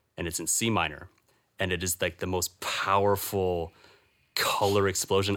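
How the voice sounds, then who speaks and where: Speaking at a moderate pace, a man with a very deep, low pitch keeps a monotone, flat intonation. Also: very clean recording, silent background. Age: 20s. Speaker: musician. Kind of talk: casual chat.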